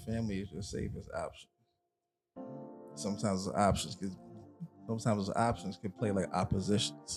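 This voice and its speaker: Over music in the background, a man with a fairly low pitch talks at a fairly quick pace, with long, frequent pauses and ordinary pitch variation. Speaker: radio host, DJ. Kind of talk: freestyle spoken rhymes.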